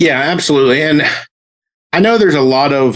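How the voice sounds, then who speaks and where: A man with an American accent. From US South. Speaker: actor. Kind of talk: interview.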